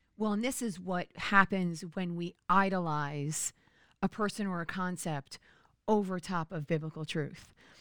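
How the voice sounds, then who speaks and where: A woman uses a normal speaking voice at a fairly slow pace, in a dry, close sound with no echo, on a very clean recording with a silent background. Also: medium pitch for a woman, ordinary pitch variation. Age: middle-aged. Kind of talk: casual chat.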